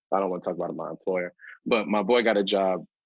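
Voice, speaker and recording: This man has an American accent and a fairly low pitch. He talks at a very fast pace. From North Carolina (Durham). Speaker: rapper and software engineer. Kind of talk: interview. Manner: casual, with frequent fillers.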